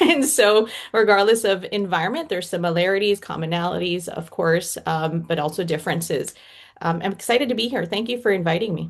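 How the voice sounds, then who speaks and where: This woman has a plain, everyday voice with a Canadian accent. Her pitch is medium with ordinary variation, and her pace is moderate. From Toronto, Canada. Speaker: organizational psychology consultant. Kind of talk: panel discussion.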